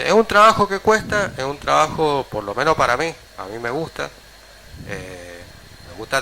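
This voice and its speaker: Moderate-paced speech from a man, background noise clearly audible. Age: 60s. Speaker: local politician. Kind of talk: radio interview.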